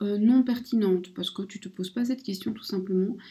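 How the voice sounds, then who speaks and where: A woman's dark, mellow voice comes through somewhat breathy, with ordinary pitch variation. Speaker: oracle card reader / spiritual guidance channel host. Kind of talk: casual talk to camera, oracle card reading.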